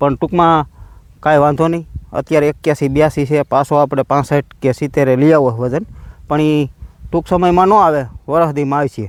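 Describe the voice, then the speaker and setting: A man has a normal speaking voice, fairly high in pitch with ordinary pitch variation. The sound is dry and close, with no echo. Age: 40s. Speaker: farmer vlogger. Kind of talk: casual vlog narration.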